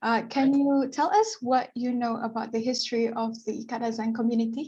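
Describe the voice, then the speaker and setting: A high-pitched woman's voice with fairly even intonation. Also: moderate pace. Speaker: student interviewer. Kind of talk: interview. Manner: formal.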